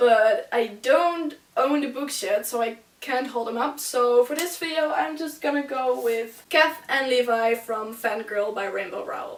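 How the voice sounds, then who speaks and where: A woman's high-pitched voice, with ordinary pitch variation, carries over noticeable background noise. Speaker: book vlogger. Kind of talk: casual talk to camera.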